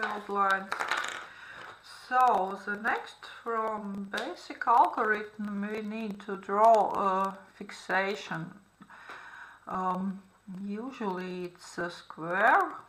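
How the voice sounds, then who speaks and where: A woman's medium-pitched voice at a very slow pace, fairly even in intonation, with big swings in loudness, long, frequent pauses and audible room echo. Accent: non-native. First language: not English. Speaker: art therapy instructor. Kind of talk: tutorial. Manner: halting, many fillers.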